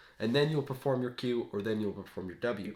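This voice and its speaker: A man's normal speaking voice. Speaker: gaming video creator. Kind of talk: casual explanation of game concepts. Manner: casual, with fillers and self-corrections.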